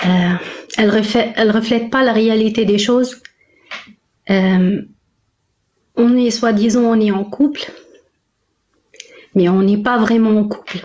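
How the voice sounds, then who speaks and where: Somewhat breathy and fairly high-pitched, a woman speaks at a fairly slow pace with fairly even intonation, very even loudness, and long, frequent pauses. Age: 40s. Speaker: caller seeking relationship advice. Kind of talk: personal testimony in live call. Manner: halting, many hesitations.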